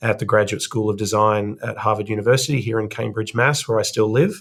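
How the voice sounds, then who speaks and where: In a very clean recording with a silent background, a man speaks with an Australian accent and fairly even intonation. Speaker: investment firm co-founder. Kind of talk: podcast interview.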